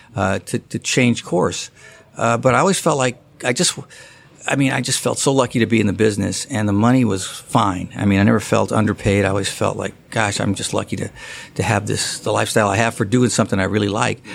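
At a very fast pace, a man talks with vocal fry and an American accent. His fairly low voice shows ordinary pitch variation. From US West Coast. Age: 60s. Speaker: golf writer. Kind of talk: casual interview.

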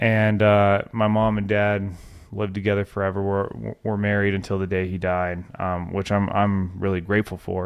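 A man's fairly low pitch in monotone, flat intonation, at a moderate pace. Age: 30s. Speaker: podcast host. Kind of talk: reflective monologue. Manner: hesitant, with fillers.

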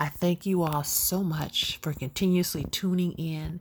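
At a fairly slow pace, the speaker talks in a somewhat breathy voice. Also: woman. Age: 50s. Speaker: podcast host. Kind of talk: testimony. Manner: animated.

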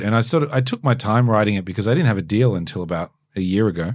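An ordinary speaking voice from a man, fairly low in pitch, with lively intonation at a fairly quick pace. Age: 40s. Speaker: DJ and keynote speaker. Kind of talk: casual chat.

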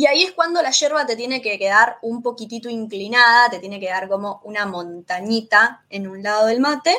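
With big swings in loudness and hardly any pauses, a woman with a bright, sharp tone talks at a moderate pace with lively intonation. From Argentina, Rosario (Santa Fe). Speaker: Spanish teacher. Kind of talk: interview.

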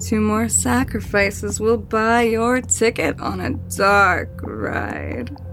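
A woman speaks at a very slow pace against noticeable background noise. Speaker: voice actor playing the tattooed woman. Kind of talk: horror audio drama dialogue. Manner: seductive, coaxing, mocking.

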